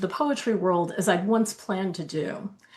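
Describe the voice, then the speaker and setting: With noticeable background noise behind her, a woman speaks at a fairly quick pace with an American accent. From New Jersey, Keyport (Jersey Shore). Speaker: novelist. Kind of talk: reading aloud.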